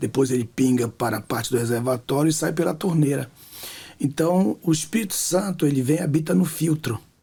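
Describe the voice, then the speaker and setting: A man talks at a fairly quick pace in a dark, mellow, somewhat breathy voice with lively intonation. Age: 60s. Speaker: pastor and author. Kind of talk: testimony in interview.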